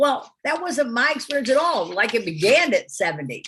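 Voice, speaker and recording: With vocal fry and very wide pitch swings, a woman speaks at a moderate pace. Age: 70s. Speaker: co-founder of an aging movement. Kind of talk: interview.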